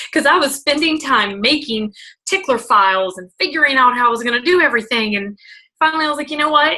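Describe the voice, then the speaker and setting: Raised and projected, a woman's high-pitched voice races at a very fast pace. Her tone is animated, bright and sharp. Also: lively intonation. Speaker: network marketing leader. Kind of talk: motivational talk. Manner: loud.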